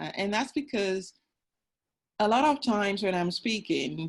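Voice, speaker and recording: Fairly slow delivery from a woman. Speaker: agile coach, panelist. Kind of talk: panel discussion. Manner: loud.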